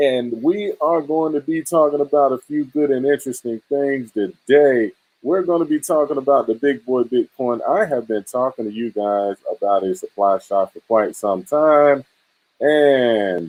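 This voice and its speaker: Speaking at a fairly slow pace, a man in a Southern accent has a fairly high pitch. His intonation is lively. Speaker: cryptocurrency livestream host.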